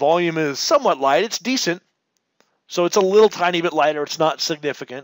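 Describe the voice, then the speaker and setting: Here a man with a high pitch talks at a fairly quick pace, using ordinary pitch variation. The sound is dry and close, with no echo. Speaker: stock trading educator. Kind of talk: market analysis webinar. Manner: fast; animated.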